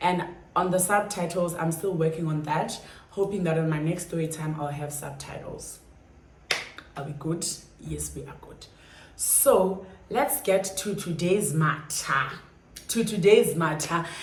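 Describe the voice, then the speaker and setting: Amid noticeable background noise and audible room echo, a woman with a fairly low pitch speaks at a fairly slow pace, with long, frequent pauses and big swings in loudness. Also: ordinary pitch variation. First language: Xhosa or another South African language. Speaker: YouTuber. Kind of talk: storytime vlog. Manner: casual, chatty.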